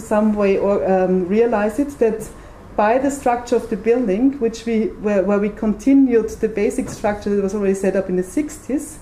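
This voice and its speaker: With hardly any pauses, a woman talks at a fairly high pitch with ordinary pitch variation amid noticeable background noise and audible room echo. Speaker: architect. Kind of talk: lecture. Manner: fast.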